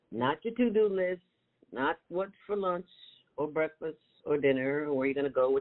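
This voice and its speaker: Pitch swings very widely while the delivery holds a moderate pace. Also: woman. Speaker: mindfulness meditation host. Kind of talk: guided meditation. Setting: live broadcast. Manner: warm, playful, encouraging.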